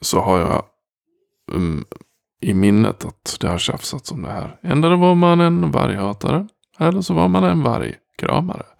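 Very wide pitch swings mark a man's fairly low voice. The sound is dry and close, with no echo. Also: moderate pace. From Dalarna, Sweden. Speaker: productivity coach and podcast host. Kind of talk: solo podcast monologue. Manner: direct.

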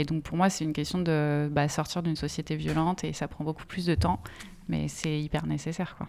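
Her pitch is very deep and low, moving up and down in an ordinary way. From France, Essonne. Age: 30s. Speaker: activist and campaign trainer. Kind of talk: casual conversation.

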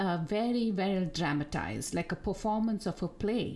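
A woman with a Tamil accent at a fairly slow pace. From India, Bangalore. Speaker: podcast host. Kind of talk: casual chat.

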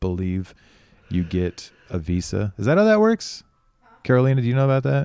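With an American accent, a man speaks fairly quickly in a dark, mellow tone. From United States. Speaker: podcast host. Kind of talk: casual chat.

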